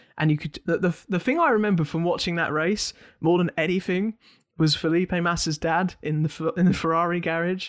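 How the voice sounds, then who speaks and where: A man with a high-pitched voice and an English accent, fairly quick and fairly even in intonation, in a dry, close recording with no echo, very clean with a silent background. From England. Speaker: podcast host. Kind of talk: casual chat.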